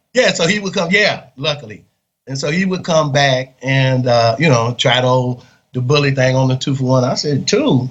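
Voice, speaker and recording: A man's somewhat breathy voice at medium pitch, moderate pace, and ordinary pitch variation. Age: 60s. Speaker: exoneree, former death row inmate. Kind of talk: interview testimony. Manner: halting with many fillers.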